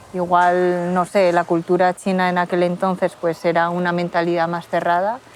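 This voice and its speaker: A woman speaks at a fairly slow pace in a fairly low voice. Her intonation is flat and monotone. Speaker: interviewee, daughter of Chinese immigrants. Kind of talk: interview testimony. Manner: casual, hesitant.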